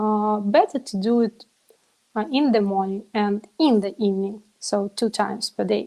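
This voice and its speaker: A woman's fairly high voice with a non-native accent. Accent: non-native English pronunciation. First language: not English. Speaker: biohacker, event organizer. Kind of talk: interview. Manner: halting, many fillers.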